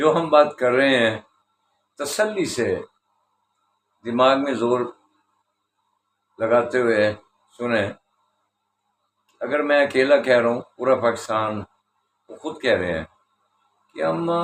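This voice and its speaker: A man with a medium pitch speaks with lively intonation and long, frequent pauses. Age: 60s. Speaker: political commentator. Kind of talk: political commentary monologue.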